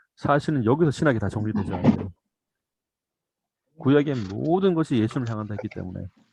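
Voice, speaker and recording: Talking at a fairly quick pace, a man uses a medium pitch that swings very widely. The sound is dry and close, with no echo. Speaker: church Bible teacher. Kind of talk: lecture. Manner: fast.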